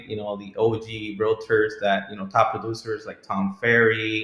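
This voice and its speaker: A man's medium-pitched voice at a moderate pace. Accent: non-native. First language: not English. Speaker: realtor. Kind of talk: casual interview answer.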